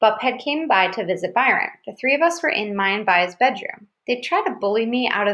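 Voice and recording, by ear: Against a quiet background, the speaker reads aloud in a natural voice.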